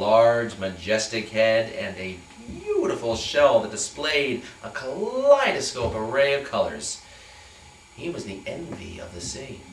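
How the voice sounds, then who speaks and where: Over noticeable background noise, a man with a medium pitch speaks with very wide pitch swings. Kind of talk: staged story reading. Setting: live performance.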